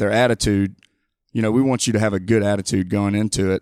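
A man with an Alabama accent speaks very fast in a fairly low, flat monotone, with a dry, close sound and no echo in a very clean recording with a silent background. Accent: Southern US (Alabama). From US South, Mobile, Alabama. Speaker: high school coach. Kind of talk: casual interview. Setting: studio.

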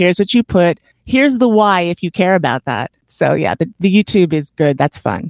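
Her voice is an ordinary speaking voice, fairly low for a woman, with lively intonation at a moderate pace, recorded dry and close with no echo. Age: 50s. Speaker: retired chiropractor and podcaster. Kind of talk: interview.

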